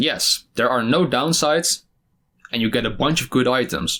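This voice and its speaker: Speaking at a moderate pace, a man with a non-native accent and a medium-pitched voice uses lively intonation. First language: not English. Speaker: gaming YouTuber. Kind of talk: game review commentary. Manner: casual, animated.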